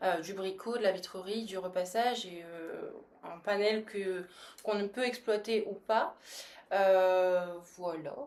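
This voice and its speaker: At a very slow pace with long, frequent pauses, a woman with a medium pitch speaks with fairly even intonation and big swings in loudness. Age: 20s. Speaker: service business franchise manager. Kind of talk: podcast interview.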